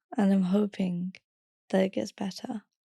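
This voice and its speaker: A woman's somewhat breathy voice at medium pitch, dark and mellow in tone, with a dry, close sound and no echo. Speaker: podcast host. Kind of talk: reading aloud.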